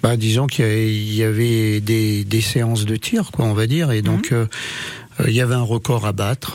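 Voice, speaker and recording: Over noticeable background noise, a man speaks fairly slowly with fairly even intonation and very even loudness. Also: medium pitch for a man. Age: 60s. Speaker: pétanque player. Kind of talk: radio interview. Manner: halting, repetitive.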